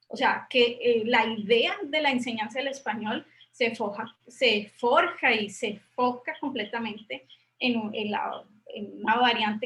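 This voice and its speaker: This woman talks at a fairly slow pace. Her pitch is fairly high. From Colombia, Popayán. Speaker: university professor, thesis examiner. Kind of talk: academic discussion, thesis defense feedback. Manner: halting, many repetitions and fillers.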